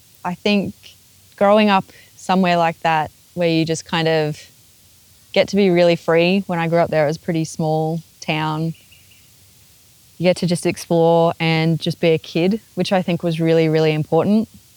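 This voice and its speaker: With long, frequent pauses, a woman speaks at a moderate pace in a fairly low, flat monotone, the sound dry and close with no echo. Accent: Australian. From Australia, Queensland. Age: 30s. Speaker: interviewee. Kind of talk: interview.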